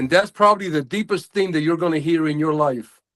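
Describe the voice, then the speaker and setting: A man with an American accent speaks at a moderate pace in a high voice, his pitch varying in an ordinary way. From United States. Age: 60s. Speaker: men's group member. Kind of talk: casual group discussion. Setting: video call.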